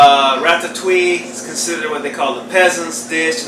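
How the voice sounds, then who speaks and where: There is a man talking. Background noise is noticeable throughout. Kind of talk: tutorial. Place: kitchen.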